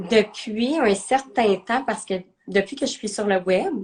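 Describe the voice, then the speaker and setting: A woman with a slight Quebec accent speaks at a very slow pace with lively intonation. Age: 30s. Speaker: entrepreneur, nutrition coach. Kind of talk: interview. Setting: live video stream. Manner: hesitant, many fillers.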